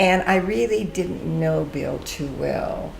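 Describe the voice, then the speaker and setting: In an American accent, a woman speaks at a very slow pace amid audible room echo and noticeable background noise. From Northern California (Mother Lode country, Stockton). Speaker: interviewee recounting life story. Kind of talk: casual interview storytelling.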